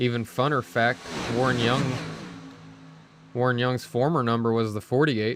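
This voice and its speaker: Noticeable background noise sits behind a man's medium-pitched voice. He pauses long and often, with fairly even intonation and very even loudness. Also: moderate pace. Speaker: sim racing league broadcaster. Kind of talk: live commentary. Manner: monotone.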